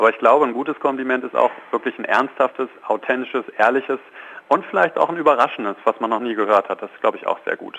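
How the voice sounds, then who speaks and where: A man talks at a very fast pace in a medium pitch, with ordinary pitch variation and big swings in loudness. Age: 30s. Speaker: positive psychologist and coach. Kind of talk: radio phone interview. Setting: phone call.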